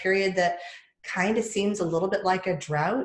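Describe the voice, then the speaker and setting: With audible room echo, a woman speaks at a medium pitch with an American accent. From US South. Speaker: podcast host and public speaker. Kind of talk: casual chat.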